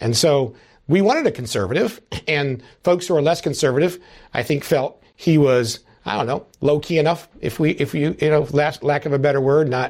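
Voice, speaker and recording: Recorded very cleanly against a silent background, a man with an unremarkable speaking voice talks at a fairly high pitch and a moderate pace with ordinary pitch variation. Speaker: congressman. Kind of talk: interview, political discussion.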